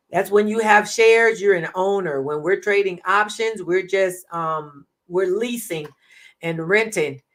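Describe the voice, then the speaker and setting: Speaking fairly slowly, a woman has an unremarkable speaking voice pitched in the medium range. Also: ordinary pitch variation. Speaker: trading educator. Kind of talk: live stream tutorial. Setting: live stream.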